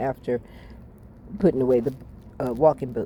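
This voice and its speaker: A woman speaks with a very deep, low pitch. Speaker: vlogger. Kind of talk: casual monologue storytelling. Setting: home, eating on camera. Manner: halting.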